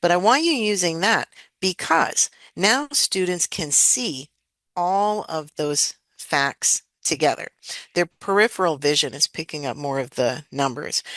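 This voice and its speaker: A woman talks at a fairly slow pace in a fairly low pitch with lively intonation, in an unremarkable speaking voice. The background is quiet. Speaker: educator and dyscalculia trainer. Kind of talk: webinar presentation.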